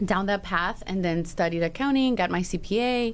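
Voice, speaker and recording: Speaking at a moderate pace, the voice carries a Spanish accent and ordinary pitch variation. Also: woman. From Chicago, Little Village (Mexican-born, moved at five). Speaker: financial planner. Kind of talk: podcast interview.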